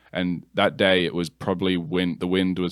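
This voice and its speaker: A man with an American accent and a very deep, low pitch speaks at a moderate pace, the sound dry and close with no echo. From England. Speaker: cinematographer and video production company co-owner. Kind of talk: casual interview.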